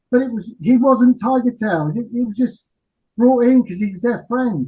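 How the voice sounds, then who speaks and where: Extremely high in pitch, a man speaks with an English accent. His pitch variation is ordinary. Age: 60s. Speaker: rock singer. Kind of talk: interview. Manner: halting.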